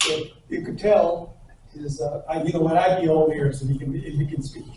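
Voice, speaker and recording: With noticeable background noise, a man in an American accent speaks at a fairly high pitch with fairly even intonation. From northern Arizona, Navajo Nation. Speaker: photographer. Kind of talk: presentation to an audience. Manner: halting, many fillers.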